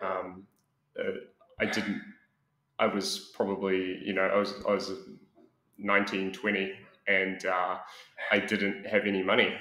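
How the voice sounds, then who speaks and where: Audible room echo surrounds a man with a New Zealand accent. His tone is bright and sharp, his pitch fairly low. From New Zealand, Auckland. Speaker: expat interviewee. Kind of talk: interview. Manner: halting, many fillers.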